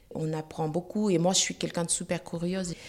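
Here is a woman with a plain, everyday voice at a medium pitch. She speaks at a moderate pace. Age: 40s. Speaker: cancer patient. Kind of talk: testimony.

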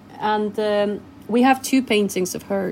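A woman with a Spanish accent speaks fairly slowly and with fairly even intonation. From Chile. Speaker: cafe owner. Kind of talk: interview. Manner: halting, many fillers.

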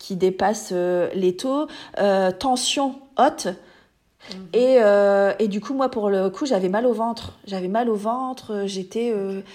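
Her voice is a dark, mellow tone at a medium pitch for a woman. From France, small village. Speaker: pediatric nursing assistant sharing birth story. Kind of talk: testimony. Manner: halting, many fillers and repetitions.

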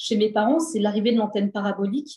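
The speaker is a woman. Her pitch is fairly high. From France, housing estate (cité). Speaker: author. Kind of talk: interview. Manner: halting.

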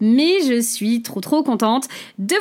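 Her intonation is lively. This woman speaks in a high pitch. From French Basque Country, Saint-Jean-de-Luz. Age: 30s. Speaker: business coach and podcast host. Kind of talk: solo podcast monologue. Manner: chatty, talkative.

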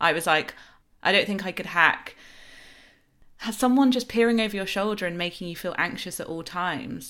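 Over a silent background in a very clean recording, a woman with a bright, sharp tone talks at a fairly quick pace with ordinary pitch variation and long, frequent pauses. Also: medium pitch for a woman. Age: 30s. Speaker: author and podcast host. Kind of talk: casual interview chat.

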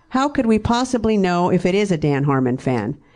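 Moving at a fairly quick pace, a woman speaks with very wide pitch swings. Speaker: fan, mother. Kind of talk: heated argument, reading texts aloud. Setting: stage with audience.

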